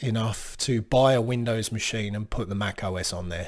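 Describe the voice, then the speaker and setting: Here a man speaks with an Australian accent at medium pitch. The recording is very clean, with a silent background. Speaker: computer technician. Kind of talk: casual talk to camera.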